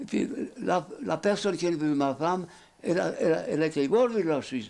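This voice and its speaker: In a very clean recording with a silent background, a man talks at a fairly quick pace in a high pitch with lively intonation. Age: 80s+. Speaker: retired coachman. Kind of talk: interview answer.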